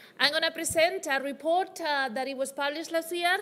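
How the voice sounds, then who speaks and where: Speaking at a fairly quick pace, a woman is heard. She has a Spanish accent. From Spain. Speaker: development finance researcher. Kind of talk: conference presentation. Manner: fast.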